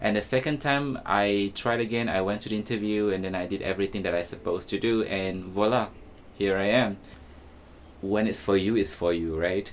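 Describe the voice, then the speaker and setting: Speaking at a fairly quick pace, a man has a Malaysian accent. His pitch is fairly low, with ordinary variation. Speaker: teacher and influencer. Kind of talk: documentary interview; social media video. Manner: casual, with fillers.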